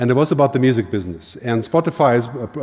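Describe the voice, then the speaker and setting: A man with a German accent, at a very fast pace and with ordinary pitch variation. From Germany. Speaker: futurist, keynote speaker. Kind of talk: keynote talk.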